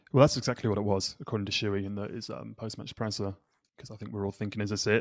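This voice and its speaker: A man speaks with an English accent at a fairly low pitch. The recording is very clean, the background silent. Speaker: podcast host. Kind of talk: casual chat.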